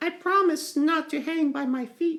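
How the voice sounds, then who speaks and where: In a squeaky, high-pitched put-on character voice, the speaker talks at a moderate pace. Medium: read story. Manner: timid, earnest.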